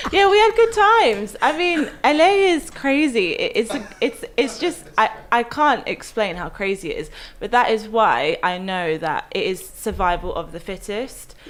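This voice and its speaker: A high-pitched woman with an English accent at a moderate pace, her pitch swinging very widely. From West London, England. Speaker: actress. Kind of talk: casual chat.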